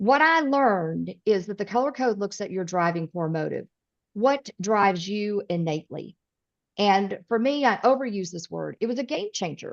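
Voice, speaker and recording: A woman with a Southern accent talks with lively intonation. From US South (East Tennessee, Midwestern parents). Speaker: personality coach and speaker. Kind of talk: podcast interview. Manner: direct.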